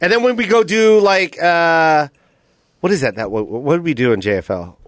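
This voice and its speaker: Very wide pitch swings run through a man's animated tone. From US, Filipino heritage. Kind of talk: casual chat.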